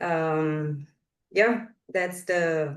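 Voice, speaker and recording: A woman speaks with a Romanian accent. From northwestern Romania, near Hungarian border. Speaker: translation researcher. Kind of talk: podcast interview.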